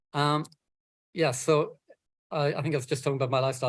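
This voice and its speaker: The speech runs at a very fast pace with monotone, flat intonation. Music plays in the background. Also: man. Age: 60s. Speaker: environmental campaigner and author. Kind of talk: talk. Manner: halting.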